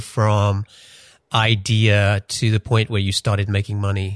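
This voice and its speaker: Over a quiet background, a man with a medium pitch speaks at a fairly slow pace in an unremarkable speaking voice. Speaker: podcast host. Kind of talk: interview.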